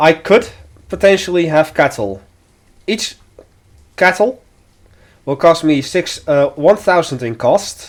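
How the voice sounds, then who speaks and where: A man with a slight Dutch accent talks very slowly in a high pitch, his intonation lively. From Netherlands. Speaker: video game streamer. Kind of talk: let's play commentary.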